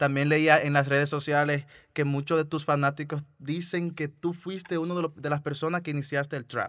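The speaker talks at a moderate pace in a Dominican accent, with monotone, flat intonation. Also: man, fairly high pitch for a man. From Dominican Republic. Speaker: podcast host. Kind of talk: casual interview.

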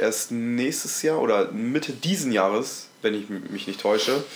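A medium-pitched male voice amid audible room echo and noticeable background noise. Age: 20s. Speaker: podcast co-host, school student. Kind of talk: casual chat.

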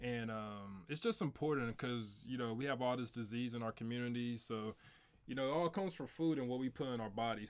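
A man with a St. Louis accent speaks at a fairly quick pace. His pitch is medium, with ordinary pitch variation. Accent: St. Louis Midwestern American. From St. Louis, Missouri. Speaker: podcast host. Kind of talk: casual chat.

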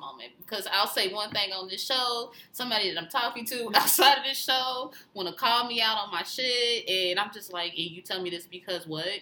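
A woman's lively intonation carries at a moderate pace through noticeable background noise. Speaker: podcast co-host. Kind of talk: casual chat. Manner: tongue-tied at times.

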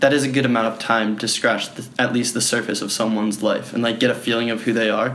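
Noticeable background noise sits behind a man with an American accent. His intonation is monotone and flat. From Philadelphia suburbs, US. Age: 20s. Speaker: project founder meeting strangers. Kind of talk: casual chat.

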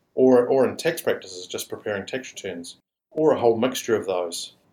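A man speaks in a plain, everyday voice. His pitch variation is ordinary. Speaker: franchise company head. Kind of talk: business interview.

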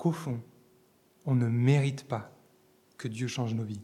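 A man talks at a fairly slow pace with a medium pitch. His tone is dark and mellow, and somewhat breathy. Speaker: preacher. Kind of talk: sermon. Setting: church. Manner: animated, fervent preacher addressing the congregation as 'les amis'; emphatic, rhythmic repetition building to a climax.

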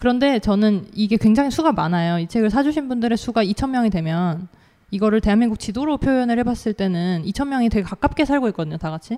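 A woman talks at a very fast pace with lively intonation. Her fairly high voice has a dark, mellow tone. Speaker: author. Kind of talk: panel discussion. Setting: stage with audience.

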